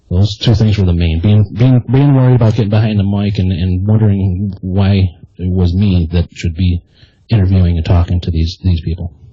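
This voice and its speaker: A soft-spoken, somewhat breathy man with an American accent, a very deep, low pitch, fairly even intonation and a moderate pace. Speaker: army veteran and podcast host. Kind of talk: interview. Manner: halting, many repetitions.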